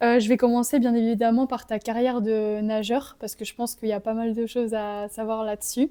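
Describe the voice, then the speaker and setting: A woman speaks fairly quickly in a fairly high, dark and mellow voice with monotone, flat intonation. The recording is very clean with a silent background. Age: 20s. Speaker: YouTuber interviewer. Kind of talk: interview.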